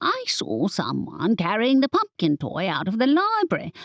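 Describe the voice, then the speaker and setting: A woman performs a put-on character voice, squeaky and fairly high in pitch. She keeps a moderate pace. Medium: read story. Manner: keeps saying partner.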